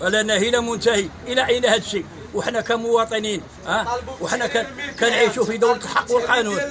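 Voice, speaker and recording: Crowd noise fills the background as a man with a high pitch speaks at a fairly quick pace. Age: 60s. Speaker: market resident complaining. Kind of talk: street interview testimony.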